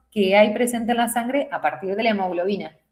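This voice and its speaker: A woman's somewhat breathy voice, fairly high in pitch, with ordinary pitch variation. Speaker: nursing teacher. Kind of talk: lecture.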